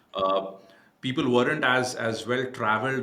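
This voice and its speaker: Audible room echo surrounds a man with an Indian accent who speaks at a medium pitch and a moderate pace. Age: 40s. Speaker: cybersecurity entrepreneur. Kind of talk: podcast interview.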